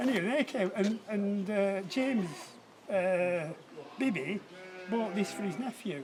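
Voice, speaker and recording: A man's high-pitched voice with lively intonation, a fairly slow pace, long and frequent pauses, and noticeable background noise. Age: 70s. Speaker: local farmer. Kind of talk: casual chat. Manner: halting.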